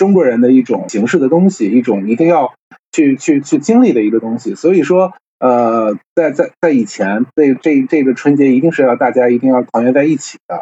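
Lively intonation and a fairly quick pace carry an unremarkable speaking voice. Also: man. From Tianjin, China. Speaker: culture media worker, guest. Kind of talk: casual conversation in live stream. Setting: online live stream.

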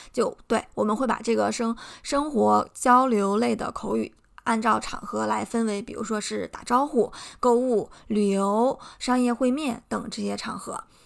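A woman speaks fairly slowly in a very clean recording where the background is silent. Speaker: podcast host, English teacher. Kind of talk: educational monologue.

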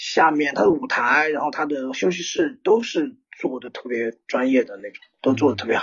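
A man with a plain, everyday voice, fairly high pitch and lively intonation, big swings in loudness, a moderate pace and hardly any pauses. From small Chinese city. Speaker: rock band lead singer. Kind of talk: casual chat.

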